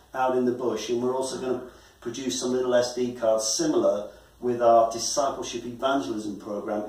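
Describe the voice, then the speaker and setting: Audible room echo follows a man speaking at a moderate pace. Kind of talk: presentation talk to a guest. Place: office. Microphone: camera far.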